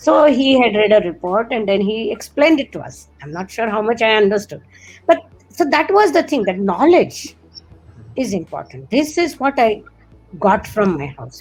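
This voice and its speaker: A woman at a fairly high pitch with very wide pitch swings and big swings in loudness, moderate pace, music in the background. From India, Marathi-speaking region. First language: Marathi. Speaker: particle physicist. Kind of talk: interview.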